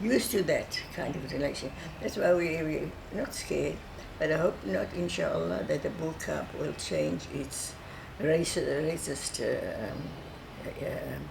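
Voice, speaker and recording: Woman, fairly slow tempo, noticeable noise behind her, audible echo from the room. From South Africa, Cape Town (Bo-Kaap). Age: 80s+. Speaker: oral history interviewee. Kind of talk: oral history interview. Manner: halting, with frequent repetitions and fillers.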